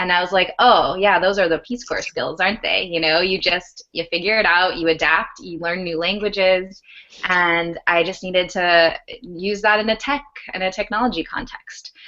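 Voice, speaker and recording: The delivery is fairly even in intonation and moderate in speed. It is an ordinary speaking voice. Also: woman, medium pitch for a woman. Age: 20s. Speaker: startup founder, former Peace Corps volunteer. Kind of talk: video call talk / professional development session. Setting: video call.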